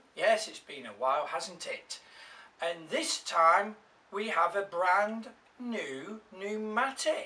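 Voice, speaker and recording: A man speaks with an English accent. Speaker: vacuum cleaner YouTuber. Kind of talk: unboxing and product review.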